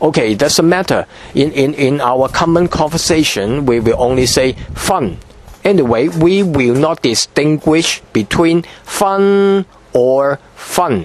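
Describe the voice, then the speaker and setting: Fairly slow speech from a man with a fairly high pitch, lively intonation and very even loudness, amid noticeable background noise. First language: Cantonese. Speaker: language teacher. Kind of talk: tutorial. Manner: halting, frequent repetitions and fillers.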